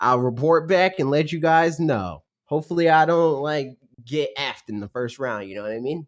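The speaker has a plain, everyday voice with lively intonation. The pace is moderate. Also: man, fairly high pitch for a man. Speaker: YouTube gaming channel host. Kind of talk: casual chat on a livestream podcast. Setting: livestream.

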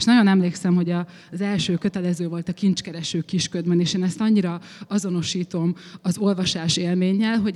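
With a normal speaking voice, a woman talks at a moderate pace, her fairly low pitch held to fairly even intonation. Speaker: writer. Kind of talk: panel discussion on stage. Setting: festival stage with audience.

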